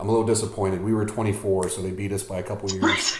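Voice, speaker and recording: Amid noticeable background noise and audible room echo, a man rattles off words very fast in a flat monotone at a fairly low pitch. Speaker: podcast host. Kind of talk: casual interview chat. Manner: hesitant, many fillers and repeats; mumbles at times.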